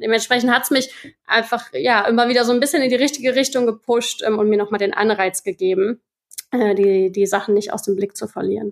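At a fairly quick pace, a woman speaks with a fairly high pitch and ordinary pitch variation, in a dry, close sound with no echo. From western Germany, Rhineland (Erkelenz). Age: 30s. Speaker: podcast listener, marketing worker in food industry. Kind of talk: casual interview. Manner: halting, many fillers.

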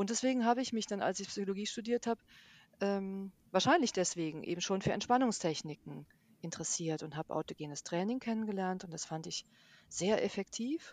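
An unremarkable speaking voice at a fairly quick pace, with lively intonation and a dry, close sound with no echo. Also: woman, medium pitch for a woman. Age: 50s. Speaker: yoga and mindfulness teacher. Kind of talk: interview. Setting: remote recording, partly re-recorded by herself.

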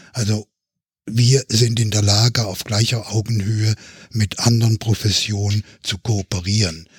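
A somewhat breathy voice with monotone, flat intonation comes through dry and close with no echo. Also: man, fairly low pitch for a man. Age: 70s. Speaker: physician and health policy expert. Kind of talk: podcast panel discussion. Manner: formal.

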